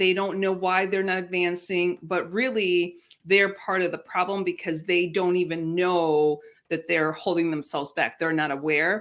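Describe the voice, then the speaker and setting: A woman with a Spanish accent speaks at a fairly low pitch and very even loudness. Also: fairly even intonation, moderate pace. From Mexico. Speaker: career coach. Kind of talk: interview. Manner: succinct.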